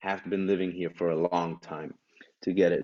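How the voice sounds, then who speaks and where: This is a man speaking with a European accent. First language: German. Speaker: stand-up comedian and actor. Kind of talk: casual podcast conversation.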